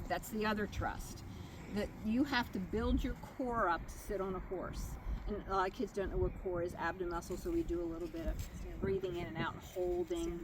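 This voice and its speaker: Noticeable background noise sits under this woman's voice. Her pitch is medium and her pace moderate. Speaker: riding therapy mentor trainer. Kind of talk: training talk to volunteers.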